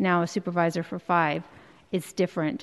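An unremarkable speaking voice at a moderate pace with fairly even intonation. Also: woman. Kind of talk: prepared hearing statement. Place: hall. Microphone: podium.

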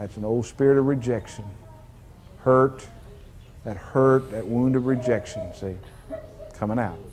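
Long, frequent pauses break up a man's fairly slow speech. His intonation is fairly even, with light background noise behind him. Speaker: deliverance minister. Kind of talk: deliverance prayer. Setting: church service with congregation. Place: church. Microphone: lapel.

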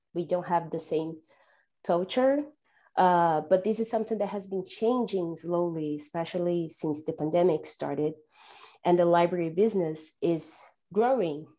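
In a Portuguese accent, a woman speaks with a dark, mellow tone at a fairly low pitch and ordinary pitch variation over a quiet background. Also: moderate pace. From Brazil. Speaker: data analysis manager; panelist. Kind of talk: panel discussion. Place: home room. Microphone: earbuds.

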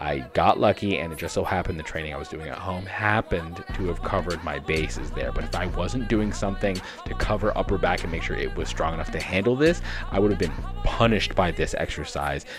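Clear music plays behind a man who speaks at a very fast pace. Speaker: fitness trainer. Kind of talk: casual vlog commentary. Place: home room. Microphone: studio mic.

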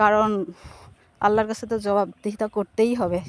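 In a dry, close recording with no echo, a woman with an unremarkable speaking voice talks at a fairly high pitch with fairly even intonation. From Bangladesh, Kushtia region. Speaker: food business owner and vlogger. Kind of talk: promotional vlog to camera.

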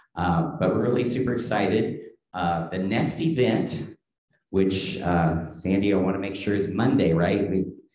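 There is audible room echo as a man talks in a fairly low voice at a moderate pace. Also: ordinary pitch variation. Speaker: event host. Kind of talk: event introduction and announcements. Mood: upbeat, welcoming. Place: classroom. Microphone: podium.

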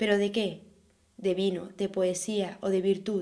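At a very slow pace, a woman speaks at a medium pitch in a dark, mellow tone with monotone, flat intonation. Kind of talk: poem reading aloud. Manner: fluent, steady, measured.

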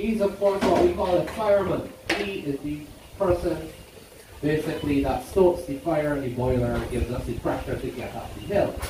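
Male speech with audible room echo over noticeable background noise. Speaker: train conductor or tour guide. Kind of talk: tour safety announcement. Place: station. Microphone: pa.

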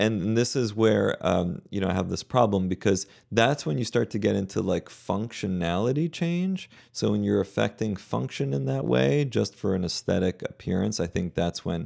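A man's fairly low voice at a moderate pace, lively in intonation, over a quiet background. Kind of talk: commentary. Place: office. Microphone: studio mic.

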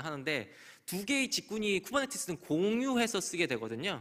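With a bright, sharp tone, a man talks at a very fast pace while his pitch swings very widely. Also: quiet background. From South Korea. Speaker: conference speaker on cloud security; conference speaker. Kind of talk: conference talk. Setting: stage with audience. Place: hall. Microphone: podium.

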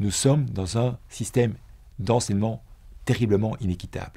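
With a dark, mellow tone, a man speaks at a fairly low pitch and a moderate pace, showing ordinary pitch variation against a quiet background. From Belgium. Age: 60s. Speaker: former teacher and businessman; former businessman turned teacher. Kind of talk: personal testimony; interview answer. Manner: halting, with frequent repetitions. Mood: reflective, earnest. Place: studio. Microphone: lapel.

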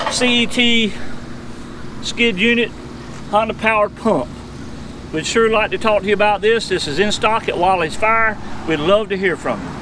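Raised and projected, a man's voice moves at a moderate pace with ordinary pitch variation and long, frequent pauses, the sound dry with no echo and the background noise noticeable. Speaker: equipment salesman. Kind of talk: product demonstration. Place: open country. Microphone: camera far.

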